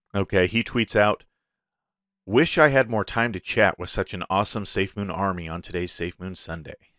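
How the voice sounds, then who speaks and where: A plain, everyday voice from a man, fairly low in pitch, moderate pace, ordinary pitch variation, dry, close sound with no echo and a very clean recording with a silent background. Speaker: crypto podcast host. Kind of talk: solo show commentary. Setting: YouTube video podcast. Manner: casual, filler-heavy.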